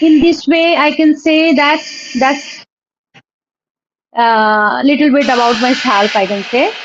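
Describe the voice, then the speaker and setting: A woman speaks at a very slow pace in a high pitch, with long, frequent pauses. Her loudness stays very even. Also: ordinary pitch variation. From India, Jharkhand (Dhanbad). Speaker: former college history lecturer. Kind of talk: casual conversation practice. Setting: video call. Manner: halting, with many fillers.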